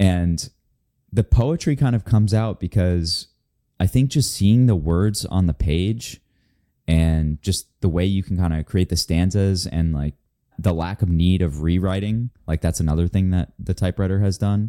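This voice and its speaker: A man's very deep, low, dark and mellow voice with an American accent, at a moderate pace, dry and close with no echo, on a very clean recording against a silent background. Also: ordinary pitch variation. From US South (Florida). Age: 30s. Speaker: writer and former investment banker. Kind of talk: casual interview.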